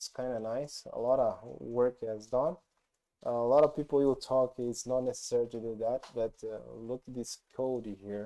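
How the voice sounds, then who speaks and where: With a non-native accent and a dark, mellow tone, the speaker moves at a fairly slow pace with fairly even intonation. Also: man. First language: not English. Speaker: programming YouTuber. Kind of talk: tutorial. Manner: halting, many fillers.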